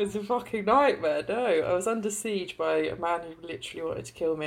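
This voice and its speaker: Speaking at a fairly quick pace, a woman with medium pitch and vocal fry shows ordinary pitch variation. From southern Ireland. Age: 30s. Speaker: clothing business founder. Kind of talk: casual chat.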